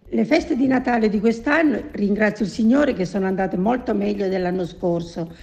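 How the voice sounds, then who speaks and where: A woman's voice rises and falls in lively intonation as she talks fairly quickly, with noticeable background noise behind her. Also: medium pitch for a woman, hardly any pauses. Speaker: retired baker and grandmother. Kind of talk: interview answers.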